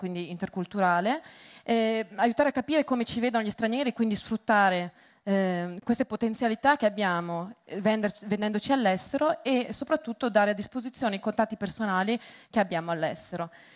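Against a quiet background, the speech runs at a fairly quick pace with ordinary pitch variation and a dry, close sound with no echo. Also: woman. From Veneto, northern Italy. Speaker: entrepreneur, business founder. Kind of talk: conference talk. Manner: hesitant, many fillers.

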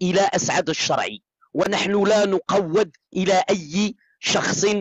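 A man's high-pitched voice, dry with no echo, over a quiet background. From Morocco. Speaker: TikTok live streamer. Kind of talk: heated debate. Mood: angry, accusatory. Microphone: phone near.

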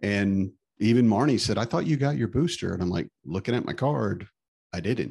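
Over a quiet background, the speaker moves at a moderate pace with lively intonation. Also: man. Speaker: podcast co-host and stay-at-home dad. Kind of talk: casual chat. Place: home room. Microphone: studio mic.

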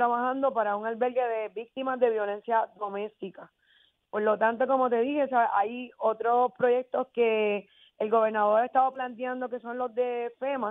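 At a moderate pace, the intonation stays monotone and flat. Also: woman. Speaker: mayor. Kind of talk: radio interview. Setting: phone call.

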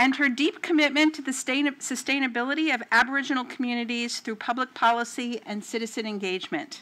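A woman uses a raised, projected voice with a high pitch and a bright, sharp tone. Her pitch varies in an ordinary way. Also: fairly quick pace. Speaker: university associate dean and moderator. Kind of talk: formal introduction and Q&A moderation. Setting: stage with audience. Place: hall. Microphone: podium.

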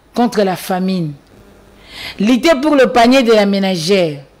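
This woman speaks. Her pace is fairly slow. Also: long, frequent pauses. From DR Congo. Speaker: party spokesperson. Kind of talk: political talk show. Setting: TV studio. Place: studio. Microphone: studio mic.

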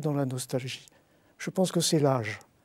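A man's dark, mellow tone at a moderate pace, dry with no echo, over a quiet background. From Bordeaux, France (born in Algiers); France. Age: 60s. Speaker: writer and literature professor; literature professor. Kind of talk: interview. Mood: reflective, nostalgic. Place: studio.

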